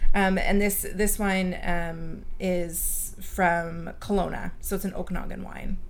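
With a Canadian accent, the speaker talks very slowly in a monotone, flat intonation with hardly any pauses and audible room echo. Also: woman, medium pitch for a woman. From Chilliwack, British Columbia, Canada. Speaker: wine YouTuber. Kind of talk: casual chat.

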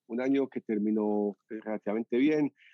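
A man speaks very slowly with a Medellín accent, his intonation fairly even. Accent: Medellín (paisa). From Colombia, Medellín. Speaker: entrepreneur, restaurant co-founder. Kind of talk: interview.

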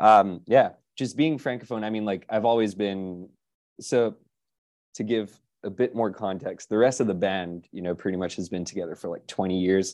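With a fairly low pitch and ordinary pitch variation, a man keeps a moderate pace. He leaves long, frequent pauses, and the background is quiet. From Quebec, Canada. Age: late 20s. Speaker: rock musician. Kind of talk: casual interview chat.

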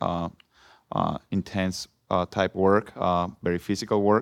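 A man with a Mexican accent, very deep and low in pitch, flat and monotone, at a fairly slow pace, with a dry, close sound, no echo and a quiet background. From Mexico. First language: Spanish. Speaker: former soccer player. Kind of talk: panel discussion. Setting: stage with audience.

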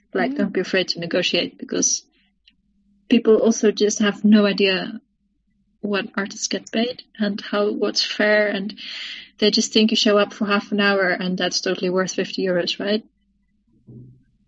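Somewhat breathy and of medium pitch, a woman talks at a moderate pace. She leaves long, frequent pauses. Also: fairly even intonation. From South Africa, moved to Netherlands at 13. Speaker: cellist and composer. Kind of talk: casual interview.

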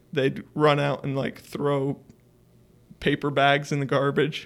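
A man with an American accent, fairly high-pitched, speaking at a fairly slow pace on a very clean recording with a silent background. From Idaho, US (small town). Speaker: photographer and geology student. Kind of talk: casual chat.

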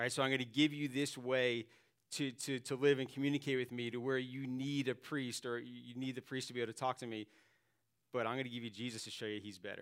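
This man speaks very fast at a medium pitch, his intonation monotone and flat. The recording is very clean, with a silent background. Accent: American. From Staten Island, New York. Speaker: pastor. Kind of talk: sermon. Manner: halting, frequent repetitions.

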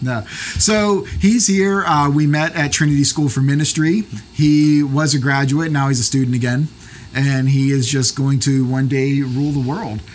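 A man speaks at a moderate pace with a fairly high pitch. His pitch varies in an ordinary way, and there is noticeable background noise. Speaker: podcaster and pastor. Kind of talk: casual interview chat. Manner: jokey, chatty.

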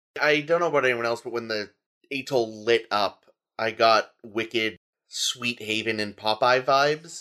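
Here is a man with a plain, everyday voice at a medium pitch. He keeps a moderate pace with ordinary pitch variation. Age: 30s. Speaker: podcast guest, fellow podcaster. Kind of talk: casual chat.

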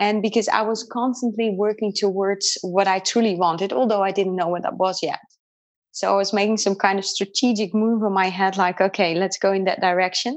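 Speaking with a Dutch accent, a woman keeps a fairly quick pace and fairly even intonation. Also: medium pitch for a woman. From Netherlands. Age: 40s. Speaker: qigong and energy healing practitioner. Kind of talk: interview. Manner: halting.

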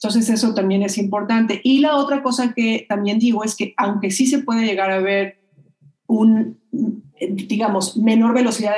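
At a moderate pace, a woman with a normal speaking voice talks in a fairly high pitch. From Mexico. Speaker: children's media producer and researcher. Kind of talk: interview.

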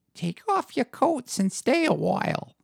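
Putting on a character voice, the speaker talks at a moderate pace with a fairly high pitch. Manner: mocking, feigned concern.

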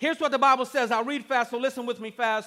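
A raised, projected voice with a bright, sharp, animated tone comes through on a very clean recording with a silent background. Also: man. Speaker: campus pastor. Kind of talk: sermon. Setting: church stage with live audience. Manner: animated, call-and-response preacher, rallying the crowd with "say amen" prompts.

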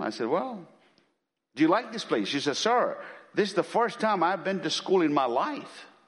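A man speaks at a moderate pace in an animated tone, with vocal fry and very wide pitch swings. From India. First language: an Indian language. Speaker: missionary preacher. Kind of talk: sermon. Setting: church.

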